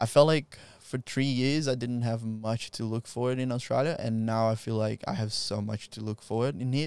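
A man with a Brazilian accent talks with hardly any pauses and fairly even intonation. The sound is dry with no echo. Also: medium pitch for a man, moderate pace. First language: Portuguese. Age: 20s. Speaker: jiu-jitsu practitioner and instructor; instructor. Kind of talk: casual interview. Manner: laughs often. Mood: reflective, personal storytelling. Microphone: handheld.

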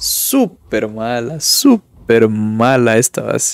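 The background is quiet as a man talks. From Ecuador. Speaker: gaming streamer. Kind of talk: gameplay commentary; casual gameplay commentary. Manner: casual, thinking aloud. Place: home room.

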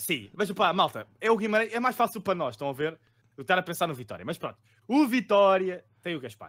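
The pace is fairly quick, set against a quiet background. A man speaks at a high pitch. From Lisbon, Portugal; Portugal. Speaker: fantasy football podcast co-host. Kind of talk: casual chat about fantasy football tips. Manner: jokey, laid-back. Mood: relaxed, joking. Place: home room.

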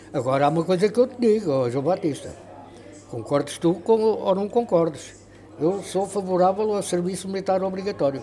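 A man with a high voice speaks at a moderate pace with lively intonation. Light background noise is present. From Portugal, Ribatejo (Pernes); Portugal. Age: 80s+. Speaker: radio pioneer. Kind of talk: interview. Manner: animated. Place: home room.

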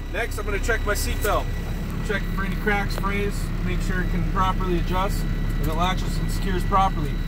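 Loud background noise accompanies speech at a fairly quick pace. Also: man. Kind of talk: tutorial. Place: car. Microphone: phone near.

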